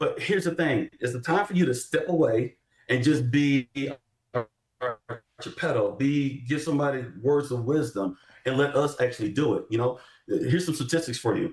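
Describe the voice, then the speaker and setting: At a moderate pace, a man talks in a somewhat breathy voice. His pitch is fairly high, with ordinary variation. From Texas, Houston. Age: 30s. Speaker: army veteran and political candidate. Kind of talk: panel interview on live show. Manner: animated.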